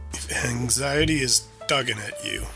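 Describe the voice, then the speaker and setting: A man talks with music in the background. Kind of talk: sleep-aid talk, calm informational narration to help listeners fall asleep. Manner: calm, soothing, slow.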